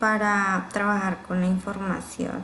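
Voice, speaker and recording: A woman's voice with monotone, flat intonation. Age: 20s. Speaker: university student. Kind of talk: class presentation. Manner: halting, with fillers.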